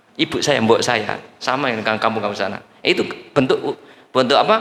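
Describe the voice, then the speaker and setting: A man with a Javanese accent talks over noticeable background noise. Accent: Javanese-accented Indonesian. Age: 60s. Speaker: preacher. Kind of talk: sermon. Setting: mosque with congregation. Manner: animated.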